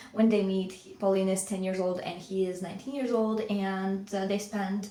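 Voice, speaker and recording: Speaking with a Russian accent at a moderate pace, a woman of medium pitch uses a monotone, flat intonation with big swings in loudness, amid noticeable background noise and audible room echo. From Latvia. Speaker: book vlogger. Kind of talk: casual vlog talk. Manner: hesitant, many fillers.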